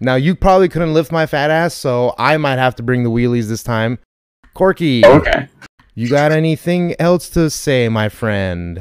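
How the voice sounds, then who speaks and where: Here a man with a fairly high pitch talks at a moderate pace with lively intonation. He has an unremarkable speaking voice, and the sound is dry and close with no echo. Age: 30s. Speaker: podcast host. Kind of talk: casual chat. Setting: live stream.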